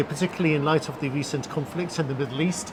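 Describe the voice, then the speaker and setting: A man's fairly high voice is heard against clear background noise. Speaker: YouTube host, former reporter. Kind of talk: interview questions to guest.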